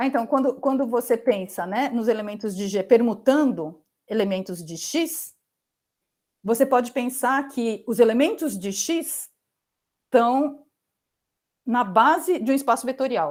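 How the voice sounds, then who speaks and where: A woman speaks at a high pitch with lively intonation and a fairly slow pace. Long, frequent pauses stand out on a very clean recording with a silent background. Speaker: mathematics professor. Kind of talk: lecture. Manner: halting, many fillers.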